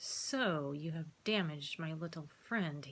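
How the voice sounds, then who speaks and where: This put-on character voice sits at a middle pitch, with audible hissing. The delivery comes at a fairly slow pace. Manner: hissing, menacing.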